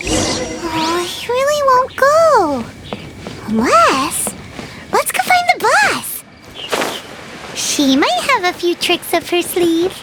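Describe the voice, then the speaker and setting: Over loud background noise, a put-on character voice at an extremely high pitch moves very slowly through very wide pitch swings. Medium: machinima. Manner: bubbly, excitable.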